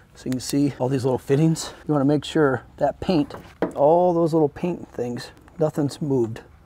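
A man at a moderate pace with fairly even intonation, dry sound with no echo and noticeable background noise. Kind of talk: tutorial. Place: garage.

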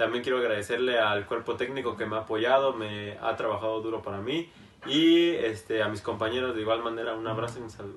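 A man's medium-pitched voice at a very fast pace, with fairly even intonation. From Mexico City. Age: young. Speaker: footballer. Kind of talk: interview. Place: home room.

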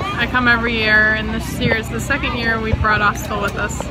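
Crowd noise fills the background as a woman speaks, her voice sounding dry with no echo. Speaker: dog owner vlogger. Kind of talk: casual vlog chat. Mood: excited, happy. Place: stadium. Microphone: phone near.

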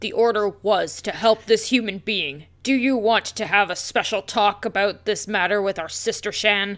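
A female-sounding cartoonish character voice at fairly high pitch runs on with hardly any pauses over a very clean recording with a silent background. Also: moderate pace. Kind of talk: comic cartoon-dog voice. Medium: game stream. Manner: menacing, scornful.

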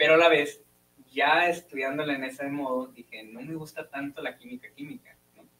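A man speaks at a moderate pace with fairly high pitch and ordinary pitch variation. His loudness swings widely. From Hermosillo, Sonora, Mexico; Sonora, Mexico. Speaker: physics student; guest. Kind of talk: casual interview. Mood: relaxed, friendly. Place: studio. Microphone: studio mic.

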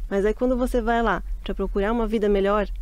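In a Brazilian accent, a woman speaks at a moderate pace with lively intonation, the sound dry with no echo. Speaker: Brazilian expatriate. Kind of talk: casual chat. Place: studio. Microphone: studio mic.

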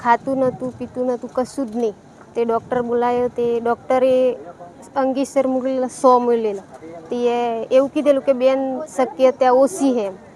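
Noticeable background noise sits behind a woman speaking in a high voice. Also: ordinary pitch variation. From rural Gujarat, Mahisagar district. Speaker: devotee. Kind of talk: testimony.

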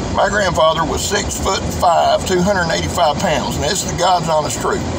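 A man speaks at a fairly quick pace. Background noise is noticeable. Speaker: knife reviewer. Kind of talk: casual vlog chat. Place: car. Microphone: phone near.

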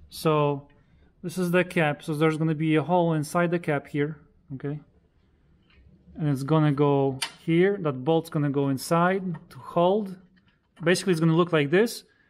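The pace is moderate, with long, frequent pauses. Light background noise is present. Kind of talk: casual explanation while working. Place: garage. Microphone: phone near.

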